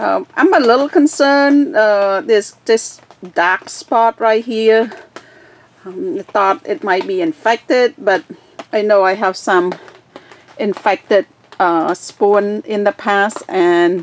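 Light background noise is present. A woman talks at a very slow pace. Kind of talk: casual tutorial narration. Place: garden. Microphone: phone near.

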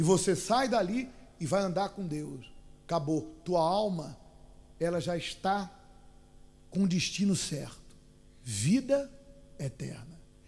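A man speaks very slowly in a high voice with lively intonation. Long pauses come frequently. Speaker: preacher. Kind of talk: sermon. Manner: urgent, exhorting, pleading with the listener; didactic, with rhetorical questions.

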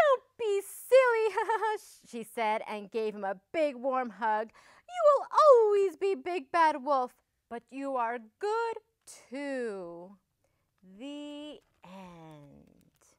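A woman's high-pitched voice at a very slow pace, with very wide pitch swings, over a quiet background. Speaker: storybook reader. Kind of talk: children's story reading. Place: studio. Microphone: lapel.

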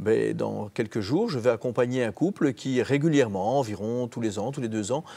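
With a dark, mellow tone and lively intonation, a man speaks at a moderate pace. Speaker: youth network director. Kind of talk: TV interview. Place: studio. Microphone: lapel.

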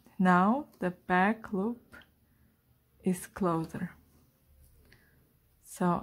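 A woman speaks at a medium pitch. Her tone is slightly mellow.

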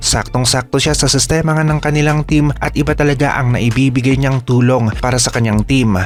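This man's pitch is medium. He talks at a fairly quick pace. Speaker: sports commentator narrating game highlights. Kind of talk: sports commentary over game highlights, scripted-sounding narration. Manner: admiring, enthusiastic tone.

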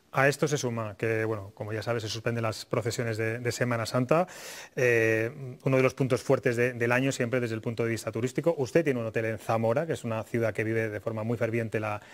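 The delivery comes at a very fast pace. Intonation stays fairly even. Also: man. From Spain. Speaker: TV talk show host. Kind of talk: TV political talk show. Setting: TV studio. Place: studio. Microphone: lapel.

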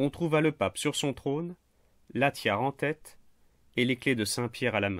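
A man speaks with ordinary pitch variation and long, frequent pauses. The recording is very clean, with a silent background and a dry, close sound with no echo. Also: medium pitch for a man, moderate pace. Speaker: history narrator. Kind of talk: scripted history narration for a general audience. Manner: measured, storytelling; clear and didactic.

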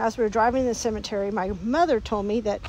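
With a Texan accent, a woman speaks at a fairly quick pace and with fairly even intonation, in a dry sound with no echo and light background noise. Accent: Texan Southern US. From Texas. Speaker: vlogger. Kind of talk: casual talk to camera. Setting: outdoors. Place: open country. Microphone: phone near.

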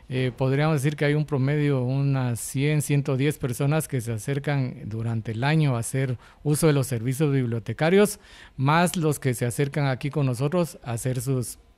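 A man's ordinary speaking voice at medium pitch, at a moderate pace, with ordinary pitch variation. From Guatemala. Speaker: coordinator of braille and audiobook production, blind. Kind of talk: interview. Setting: on location at a hospital. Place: office. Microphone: handheld.

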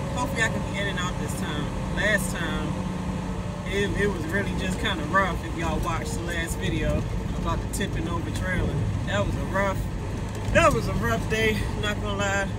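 Long, frequent pauses against loud background noise. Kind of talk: casual vlog chat. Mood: annoyed but joking. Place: car. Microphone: phone near.

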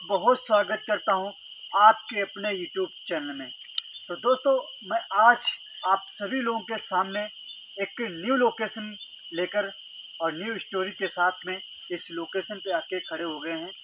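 A man's raised, projected voice at a fairly slow pace, with long, frequent pauses, ordinary pitch variation, a dry sound with no echo and noticeable background noise. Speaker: YouTube ghost-story host. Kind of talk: storytelling vlog to camera. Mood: earnest, storytelling tone. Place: open country. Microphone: handheld.

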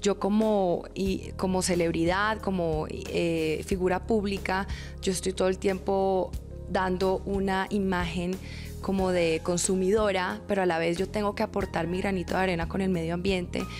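A woman with a Bogotá accent talks at a fairly slow pace and very even loudness. Clear music plays in the background. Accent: Bogotá Colombian Spanish. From Bogotá, Colombia. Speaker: TV presenter and model. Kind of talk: interview answer. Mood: cheerful, smiling. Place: home room. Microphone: handheld.

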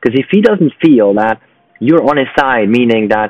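A man talks at a very fast pace, his pitch swinging very widely. The sound is dry with no echo, and faint music plays in the background. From Switzerland. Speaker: business networking founder and sales advisor; sales advisor. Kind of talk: solo advice talk to camera. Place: home room. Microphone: earbuds.

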